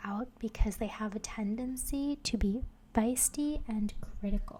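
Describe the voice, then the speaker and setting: Soft-spoken and somewhat breathy, a woman has a dark, mellow tone. She speaks at a fairly slow pace. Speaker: ASMR creator. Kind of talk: soft-spoken ASMR facts narration for sleep. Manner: soft-spoken, relaxing.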